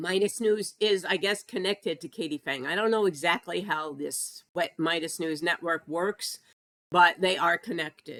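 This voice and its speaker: The speech comes at a fairly slow pace, with a dry, close sound and no echo. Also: woman. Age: 60s. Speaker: political commentator, former news editor. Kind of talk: casual monologue vlog. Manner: animated.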